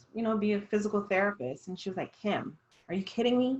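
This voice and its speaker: Her voice carries a fairly high pitch. This woman sounds somewhat breathy as she talks. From Jamaica, raised Jamaican household in US. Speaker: dietitian. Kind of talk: casual discussion.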